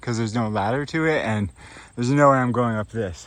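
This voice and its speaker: This is an ordinary speaking voice of a man at medium pitch, with ordinary pitch variation. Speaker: travel vlogger, hiker. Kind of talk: vlog narration while hiking. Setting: outdoors on a mountain trail.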